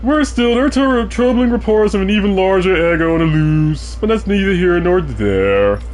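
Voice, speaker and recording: Over clear background noise, a put-on character voice holds a very even loudness. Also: man, high pitch for a man, moderate pace. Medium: game stream.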